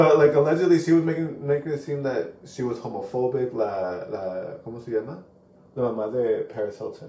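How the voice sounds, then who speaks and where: A fairly high-pitched man with lively intonation and a fairly quick pace, big swings in loudness, and noticeable background noise. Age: 30s. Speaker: podcast co-host, vet tech. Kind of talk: casual chat.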